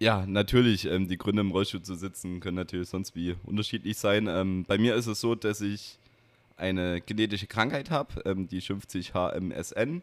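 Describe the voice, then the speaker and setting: A normal speaking voice at a moderate pace with fairly even intonation, on a very clean recording with a silent background. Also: man, fairly low pitch for a man. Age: 20s. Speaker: wheelchair basketball player and student. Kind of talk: interview conversation. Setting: gaming bar.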